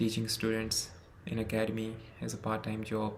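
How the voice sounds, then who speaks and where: Audible room echo surrounds a man with a non-native accent who speaks at a moderate pace and a medium pitch. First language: not English. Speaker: medical student. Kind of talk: personal testimony.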